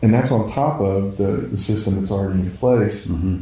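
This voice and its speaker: With audible room echo, a man with an American accent speaks at a moderate pace in a fairly low, dark, mellow voice that is somewhat breathy. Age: 50s. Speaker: pastor. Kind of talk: casual chat.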